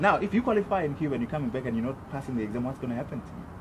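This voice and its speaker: A man talking at a very fast pace, his pitch swinging very widely, over noticeable background noise. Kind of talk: interview answer. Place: open country. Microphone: camera far.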